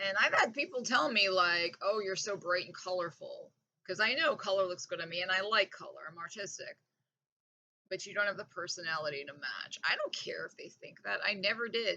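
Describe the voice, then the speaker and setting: A woman talks in an animated tone at a fairly quick pace. Her loudness swings widely. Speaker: vlogger. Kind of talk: casual monologue rant.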